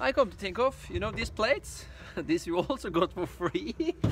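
A man talks at a moderate pace over loud background noise, his voice dry with no echo. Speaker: builder vlogger. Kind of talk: casual vlog chat. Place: street. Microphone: phone near.

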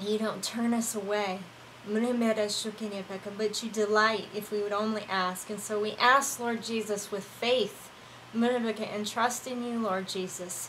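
Amid noticeable background noise, the voice moves at a very slow pace in a monotone, flat intonation. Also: woman, fairly high pitch for a woman. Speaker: online prayer minister. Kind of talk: fervent prayer, mixing spoken intercession with speaking in tongues. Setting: live online broadcast. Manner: impassioned, reverent, flowing in rhythmic bursts of praise; warm and conversational between prayers, hesitant, filler-heavy.

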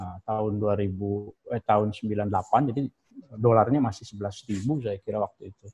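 Against a quiet background, a man speaks at a moderate pace in a dark, mellow, somewhat breathy tone with fairly even intonation. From Indonesia, West Java (Sundanese). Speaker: professor of Islamic philology. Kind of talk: guest lecture. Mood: relaxed, humorous. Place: office. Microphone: video call.

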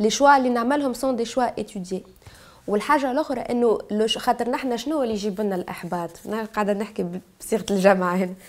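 A woman talks at a fairly quick pace in a fairly high pitch with ordinary pitch variation. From Tunisia, Bizerte; Tunisia. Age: 20s. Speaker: activist; guest. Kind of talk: testimony. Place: studio.

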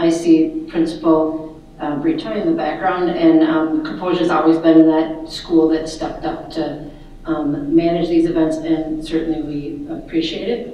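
A woman's fairly low voice at a fairly slow pace with ordinary pitch variation and strong room echo. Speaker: candidate. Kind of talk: candidate introduction speech. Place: hall.

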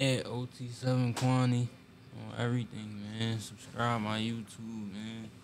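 A man speaks at a very slow pace in a monotone, flat intonation over noticeable background noise. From Philadelphia. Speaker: rapper; podcast guest. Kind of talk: casual interview chat. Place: shop. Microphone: studio mic.

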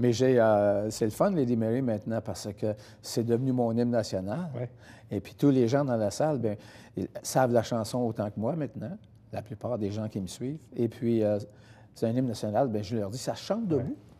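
A man with a dark, mellow tone speaks at medium pitch and a moderate pace, his pitch varying in an ordinary way. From Quebec. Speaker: singer; guest. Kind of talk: interview. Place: studio.

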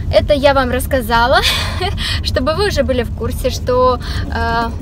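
Music plays in the background as a woman speaks in a dry sound with no echo. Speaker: vlogger. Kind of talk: casual vlog chat. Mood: cheerful, relaxed. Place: car. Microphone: phone near.

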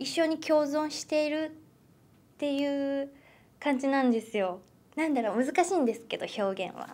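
Her high-pitched voice moves with lively intonation as this woman speaks. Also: moderate pace. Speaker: actress. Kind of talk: interview. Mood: cheerful, thoughtful. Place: meeting room.

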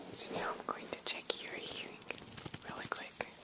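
The speaker is soft-spoken and talks at a fairly slow pace against loud background noise. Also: man. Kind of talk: soft-spoken role-play to viewer. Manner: soft, close ASMR voice. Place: home room.

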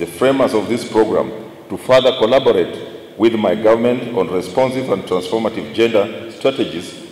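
There is audible room echo as a man talks at a moderate pace with fairly even intonation. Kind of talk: formal speech. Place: hall. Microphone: podium.

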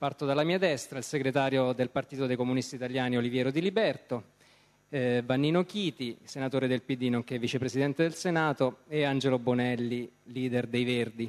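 An unremarkable speaking voice from a man, medium-pitched, fairly quick, with very even loudness. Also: ordinary pitch variation. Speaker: journalist moderator. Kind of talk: moderated political debate. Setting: stage with audience. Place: stage. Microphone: handheld.

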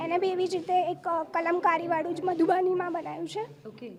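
A woman with an extremely high pitch and fairly even intonation speaks over noticeable background noise. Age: 30s. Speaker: artist. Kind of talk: interview. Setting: art exhibition.

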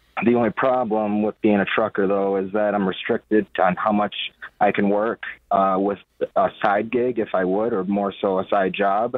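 A man's fairly low, monotone voice at a moderate pace over a quiet background. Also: dry sound with no echo. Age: 20s. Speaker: truck driver, caller; caller. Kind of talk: phone-in question. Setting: phone call. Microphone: phone line.

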